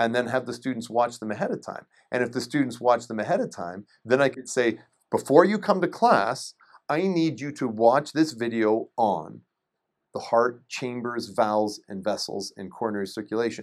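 On a very clean recording with a silent background, a man uses a normal speaking voice at a medium pitch and moderate pace, with lively intonation and big swings in loudness. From Canada, rural Ontario. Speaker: anatomy professor and educational video maker. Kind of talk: interview conversation.

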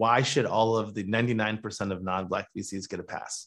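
Speaking at a moderate pace with an American accent, a man has an unremarkable speaking voice of medium pitch and ordinary pitch variation. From Michigan. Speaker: venture capital investor. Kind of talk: interview.

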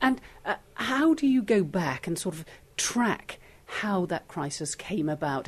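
Against music in the background, a woman's voice moves through very wide pitch swings. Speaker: interviewer, podcast host. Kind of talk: interview.

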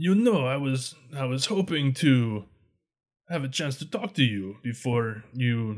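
In a very clean recording with a silent background, a man puts on a character voice at medium pitch and a fairly slow pace. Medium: actual play. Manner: smooth, self-assured, lightly mocking.

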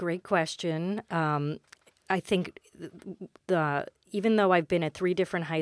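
A woman speaks with an American accent and fairly even intonation. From Queens, New York City. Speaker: high school guidance counselor. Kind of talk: interview. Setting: studio. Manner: halting; soft-spoken.

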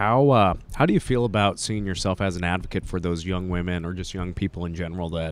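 A man with an American accent speaks in a very deep, low pitch at a fairly quick pace. His intonation stays fairly even. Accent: Montana, Canadian-tinged. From Montana. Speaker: podcast host. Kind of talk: casual interview. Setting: convention booth.

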